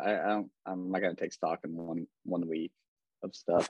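A man speaks at a moderate pace. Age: 20s. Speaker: sports betting podcast co-host. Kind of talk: casual chat.

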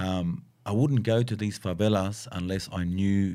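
Speaking at a moderate pace with an Australian accent, a man uses a very deep, low pitch and ordinary pitch variation. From Southwest Sydney, Australia. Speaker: graffiti artist and muralist. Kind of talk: casual chat. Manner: animated.

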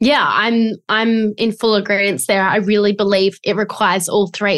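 Fairly even intonation comes in an Australian accent at a moderate pace. The background is quiet. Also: woman. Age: 20s. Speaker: business coach. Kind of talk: interview.

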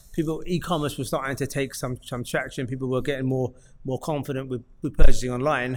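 A man's medium-pitched, unremarkable speaking voice at a fairly quick pace with fairly even intonation. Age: 40s. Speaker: businessman and gym member. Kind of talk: casual chat.

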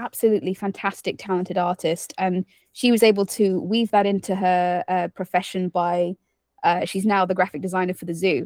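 A woman speaks at a moderate pace with a British accent, in a very clean recording with a silent background and a dry, close sound with no echo. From United Kingdom. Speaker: zookeeper and podcast host. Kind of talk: casual interview chat. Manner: warm, enthusiastic.

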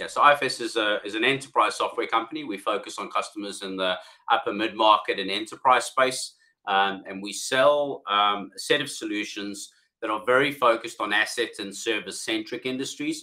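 Speaking at a moderate pace with a South African accent, this voice swings widely in loudness. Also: man. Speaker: software company CEO. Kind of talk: business podcast interview.

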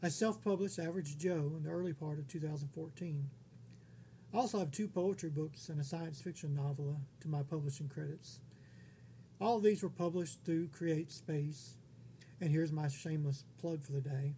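A man with an American accent speaks at a fairly high pitch and a moderate pace, with ordinary pitch variation. His tone is dark and mellow and somewhat breathy. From Texas. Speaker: independent author, podcast host. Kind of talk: scripted narration.

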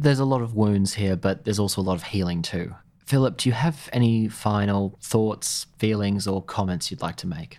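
A man with an Australian accent talks at a moderate pace with hardly any pauses. His fairly low voice has a dark, mellow tone. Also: ordinary pitch variation, very clean recording, silent background. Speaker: podcast host. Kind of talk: interview. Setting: in-person interview at a museum.

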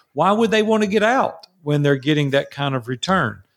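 A man with a Tennessee accent speaks at a fairly high pitch on a very clean recording with a silent background. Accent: Southern US (Tennessee). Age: 60s. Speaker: entrepreneur and mastermind coach. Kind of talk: interview. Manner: animated.

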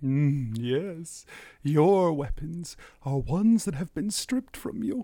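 A put-on character voice is performed at a middle pitch. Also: fairly slow pace. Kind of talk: fantasy prophecy speech. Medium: actual play. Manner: formal, grave, riddling.

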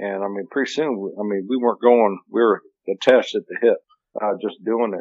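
With an American accent, a man at a medium pitch speaks at a fairly quick pace in an ordinary speaking voice. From US Midwest (Missouri). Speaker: hunting video show host. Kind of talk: casual chat. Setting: phone call.

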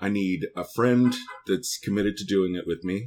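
The speaker has a Californian accent. The pace is moderate. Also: man. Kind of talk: casual chat. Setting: video call.

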